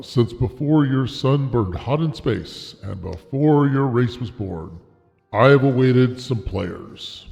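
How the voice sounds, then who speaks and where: Using a put-on character voice at a medium pitch, a man speaks at a fairly slow pace. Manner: scary, menacing.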